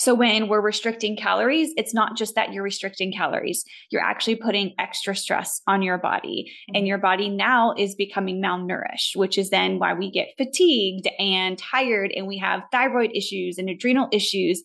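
Against a quiet background, a woman speaks at a moderate pace with a medium pitch and ordinary pitch variation. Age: 30s. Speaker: faith-based fitness coach and author. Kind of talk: casual interview chat.

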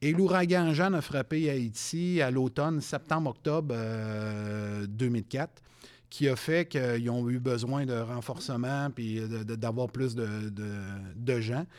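In a very clean recording with a silent background, a man talks at a very slow pace. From Quebec City. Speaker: retired police sergeant. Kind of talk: interview.

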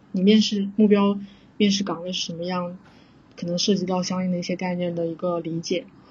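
Fairly quick and somewhat breathy, a woman speaks at a medium pitch in a monotone, flat intonation. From southern China. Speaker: software engineer. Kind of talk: casual interview chat.

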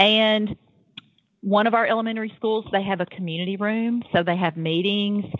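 A woman speaks in a Tennessee accent. Her pitch is medium, with ordinary pitch variation. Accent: Southern US (Tennessee). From US South. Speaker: public school program coordinator. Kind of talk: podcast interview. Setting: phone call.

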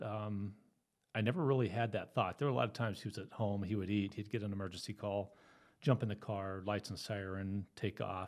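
With an American accent, a man talks at a fairly quick pace and fairly low pitch in a plain, everyday voice. His intonation is fairly even, and the recording is very clean with a silent background. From Southern California. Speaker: retired police officer. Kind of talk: interview, personal story.

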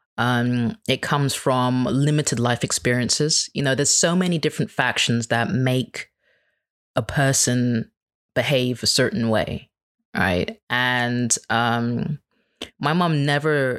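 Recorded very cleanly against a silent background with a dry, close sound and no echo, a man with a plain, everyday voice speaks at a fairly slow pace with ordinary pitch variation. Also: very even loudness. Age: 30s. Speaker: podcaster. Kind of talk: casual interview chat.

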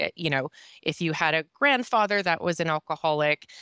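In a very clean recording with a silent background and a dry, close sound with no echo, a woman with a Minnesotan accent speaks at a moderate pace in a fairly low pitch with a bright, sharp tone. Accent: Minnesota. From northern Minnesota, US Midwest. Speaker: sobriety coach and speaker. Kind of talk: interview, telling personal story.

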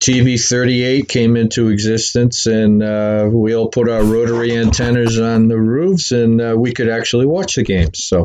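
A slightly mellow tone with a Boston accent, moderate pace, few pauses and ordinary pitch variation. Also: man, medium pitch for a man. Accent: Boston-area New England.

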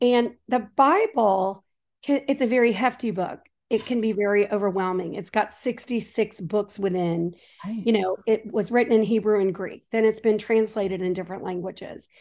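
A woman with a normal speaking voice talks at a moderate pace and fairly high pitch, her intonation fairly even over a quiet background. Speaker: author and Bible teacher. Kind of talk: casual interview chat.

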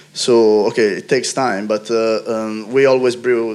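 The speaker talks at a moderate pace in an Italian accent, with monotone, flat intonation. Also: man. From Italy. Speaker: brewer. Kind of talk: panel discussion.

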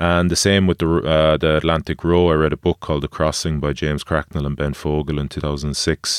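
In an Irish accent, a man with a very deep, low pitch talks at a fairly quick pace in a monotone, flat intonation with hardly any pauses. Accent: Irish (Galway). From Galway, west of Ireland. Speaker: former rugby player and adventurer. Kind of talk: casual chat. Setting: studio.

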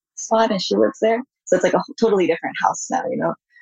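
A woman with a Californian accent and ordinary pitch variation. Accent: Californian American English. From US, San Francisco Bay Area. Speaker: artist. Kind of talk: interview.

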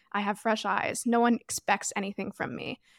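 A woman with a plain, everyday voice and a Canadian accent speaks at a fairly high pitch and a moderate pace with fairly even intonation, in a very clean recording with a silent background and a dry, close sound with no echo. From Toronto, Canada. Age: 20s. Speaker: podcast host and online creator.

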